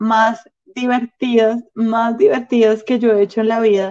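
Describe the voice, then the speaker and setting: In a Bogotá accent, a woman speaks slowly-ish, fairly high in pitch, with a dark, mellow tone and monotone, flat intonation. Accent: Bogotá Colombian Spanish. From Colombia, Bogotá. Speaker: stand-up comedian. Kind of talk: casual chat. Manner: soft-spoken.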